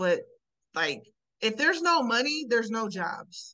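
A woman talks in a plain, everyday voice. Her pace is moderate and her intonation lively. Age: 30s. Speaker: podcast co-host. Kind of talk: casual chat.

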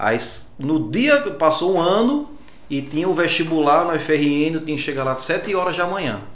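Noticeable background noise and audible room echo surround a man talking at a moderate pace. His pitch is fairly high, with ordinary variation. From Rio Grande do Norte interior (Alto Oeste), Brazil. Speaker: dentist. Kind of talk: casual interview.

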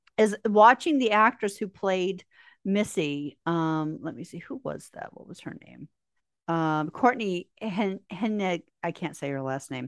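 Against a quiet background, a woman with a plain, everyday voice talks at a fairly slow pace and medium pitch, with big swings in loudness. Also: dry, close sound with no echo. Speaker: podcast host. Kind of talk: casual podcast chat.

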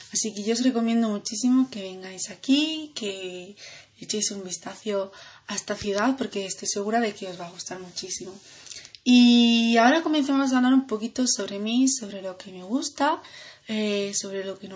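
A woman talks at a moderate pace with a fairly high pitch and ordinary pitch variation. Her loudness swings widely, and there is noticeable background noise. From Andalusia, Granada. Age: 20s. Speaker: student. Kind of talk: self-introduction podcast. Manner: hesitant with fillers.

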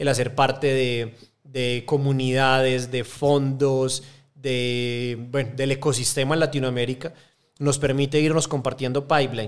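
At a fairly slow pace, a man speaks with an Antioquian accent. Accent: Colombian paisa Spanish. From Colombia, Medellín. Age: 30s. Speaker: angel investor network co-founder. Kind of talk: interview. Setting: studio.

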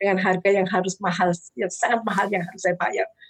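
A woman is speaking. Her pace is very fast. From Indonesia, Surabaya (East Java). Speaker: charity foundation founder. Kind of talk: interview, personal testimony.

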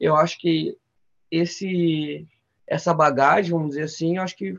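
With fairly even intonation, an ordinary speaking voice keeps a moderate pace. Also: man. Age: 30s. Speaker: physical education intern and small business owner. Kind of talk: casual interview chat.

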